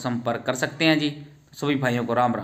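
A man talks at a moderate pace. His pitch variation is ordinary. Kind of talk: sales commentary. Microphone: phone near.

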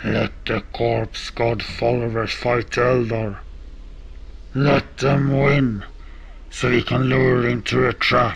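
In a put-on character voice, a man speaks very slowly at a medium pitch, shrill and growling, with long, frequent pauses and clear background noise behind him. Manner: shrieking, bestial, growling.

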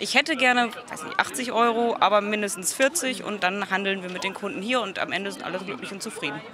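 With crowd noise in the background, a woman speaks very fast with hardly any pauses, big swings in loudness and ordinary pitch variation, in a dry sound with no echo. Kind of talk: interview answer. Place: market. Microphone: handheld.

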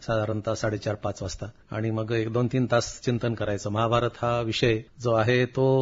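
In a somewhat breathy voice, a man speaks with monotone, flat intonation. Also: medium pitch for a man. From Marathwada, Maharashtra (Nanded district). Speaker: writer. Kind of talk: interview. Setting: radio studio.

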